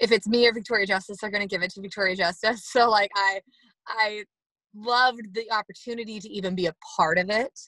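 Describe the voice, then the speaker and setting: A woman's very fast, energetic delivery with an American accent, fairly high in pitch and bright and sharp in tone, with big swings in loudness, in a dry, close sound with no echo. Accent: Southern accent that comes out. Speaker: actress and former pageant winner. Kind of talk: casual interview.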